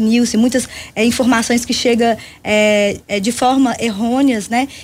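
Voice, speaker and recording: A woman speaks at a fairly high pitch with a Minas Gerais accent and fairly even intonation. Her voice is somewhat breathy. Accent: Minas Gerais Brazilian Portuguese. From Brazil, Belo Horizonte (Minas Gerais). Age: 40s. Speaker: party leader and social movement activist. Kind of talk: radio interview.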